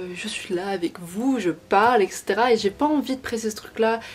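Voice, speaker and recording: Music in the background behind a female speaker with ordinary pitch variation. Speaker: beauty and lifestyle youtuber. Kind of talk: casual chat. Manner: fast.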